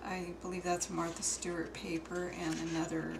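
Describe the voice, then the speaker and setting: A woman speaks in a fairly low pitch. The recording has noticeable background noise and audible room echo. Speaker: craft hobbyist showing altered art books. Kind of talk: show-and-tell tutorial. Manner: slow; halting.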